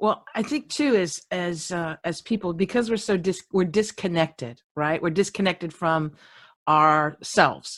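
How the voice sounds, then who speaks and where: A woman with a plain, everyday voice speaks at a fairly slow pace and fairly low pitch, with ordinary pitch variation. The recording is very clean, with a silent background. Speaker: podcast host. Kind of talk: interview.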